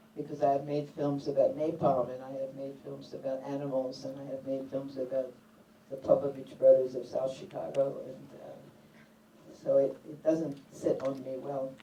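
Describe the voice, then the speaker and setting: With an American accent, a woman speaks at a moderate pace in a very deep, low pitch, her intonation monotone and flat and her loudness swinging widely, over noticeable background noise and audible room echo. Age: 70s. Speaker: documentary filmmaker. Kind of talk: panel discussion. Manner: halting, with fillers.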